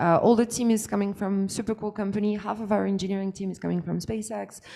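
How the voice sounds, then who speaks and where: Speaking with a French accent, a woman uses a dark, mellow tone and a monotone, flat intonation. She moves at a fairly quick pace in a very clean recording with a silent background. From France. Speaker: startup founder. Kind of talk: pitch presentation. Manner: halting, many fillers.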